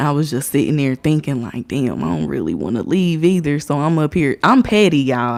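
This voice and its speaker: On a very clean recording with a silent background, a woman with an American accent talks fairly quickly in a very deep, low voice with lively intonation. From Indiana, US. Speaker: livestreamer. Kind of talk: casual livestream storytelling.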